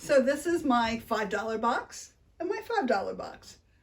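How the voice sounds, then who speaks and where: A woman with a Philadelphia accent speaks at a high pitch with very wide pitch swings. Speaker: unboxing video host. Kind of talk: casual unboxing chat.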